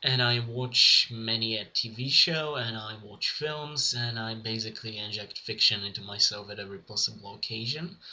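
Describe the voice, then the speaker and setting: At a moderate pace and with hardly any pauses, a man speaks at a medium pitch with ordinary pitch variation over noticeable background noise. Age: 20s. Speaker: vlogger. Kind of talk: casual vlog monologue. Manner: halting.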